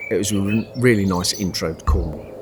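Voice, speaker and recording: A man with a Birmingham accent talks at a moderate pace in a relaxed tone over noticeable background noise. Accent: Midlands (Birmingham). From West Midlands, England (north-east Birmingham, Sutton Coldfield). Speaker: travel vlogger. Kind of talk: casual vlog narration. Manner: relaxed, hesitant with fillers.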